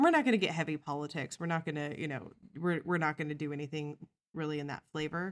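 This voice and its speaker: A woman with an American accent speaks at a very fast pace in a very deep, low voice, her intonation fairly even. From US Midwest, Missouri. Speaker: podcast co-host. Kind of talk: casual chat. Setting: home recording.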